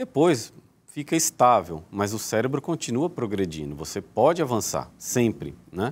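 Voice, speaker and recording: This man's voice sits at a medium pitch and carries vocal fry. He speaks at a fairly slow pace with very wide pitch swings. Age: 40s. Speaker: neurosurgeon; guest. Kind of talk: TV interview. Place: studio. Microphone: lapel.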